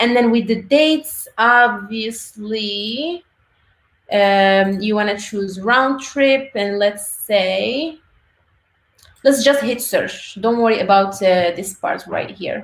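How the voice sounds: The speech comes at a slow pace with ordinary pitch variation, and audible room echo surrounds it. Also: woman, medium pitch for a woman.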